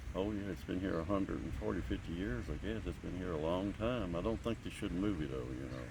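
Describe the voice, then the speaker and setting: With an Appalachian accent, a man talks at a very fast pace with hardly any pauses, his very deep, low pitch carrying lively intonation and vocal fry amid audible room echo. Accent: Appalachian Kentucky. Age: 60s. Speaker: local resident. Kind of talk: interview.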